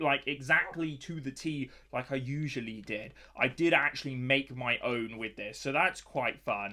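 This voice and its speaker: Speaking at a fairly slow pace, a man has a British accent. His tone is bright and sharp. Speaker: gaming youtuber. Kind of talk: gameplay commentary. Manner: casual and hesitant.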